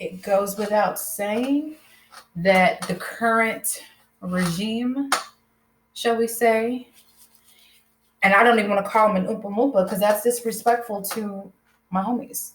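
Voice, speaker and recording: Somewhat breathy and with an American accent, the speaker goes at a fairly slow pace with fairly even intonation and long, frequent pauses. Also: woman, fairly high pitch for a woman. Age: 30s. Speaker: YouTuber. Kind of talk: casual chat. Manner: casual, filler-heavy.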